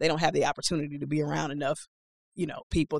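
A woman's very deep, low voice with vocal fry and an American accent, monotone and flat, at a very fast pace, with a dry, close sound and no echo. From Milwaukee, US Midwest. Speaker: executive director of a young professionals group. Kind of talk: interview. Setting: studio.

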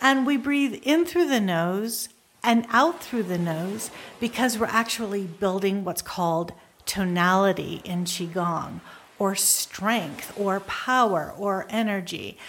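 A woman speaks at a very slow pace with a soothing, gentle tone. Her intonation is lively. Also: medium pitch for a woman. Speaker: meditation teacher and wellness center founder. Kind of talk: guided meditation with breathing instruction. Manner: slow, soothing pace with gentle repeated cues; calm, nurturing, softly encouraging.

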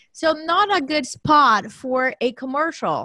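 A woman's raised, projected voice. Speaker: podcast co-host. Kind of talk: casual interview.

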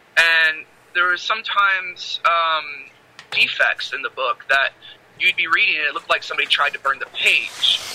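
A man speaks at a moderate pace. The sound is dry and close with no echo, over noticeable background noise. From Michigan. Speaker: author. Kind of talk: casual chat.

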